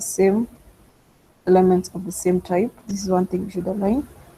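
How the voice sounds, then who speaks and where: Somewhat breathy and dark, mellow in tone, a woman's voice sits at a medium pitch. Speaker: data science instructor. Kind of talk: online tutorial.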